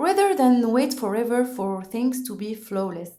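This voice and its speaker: A woman with a French accent speaks at a fairly high pitch and a fairly slow pace. Her pitch varies in an ordinary way, and audible room echo surrounds her voice. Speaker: podcast host. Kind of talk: motivational podcast monologue. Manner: carefully prepared, scripted delivery.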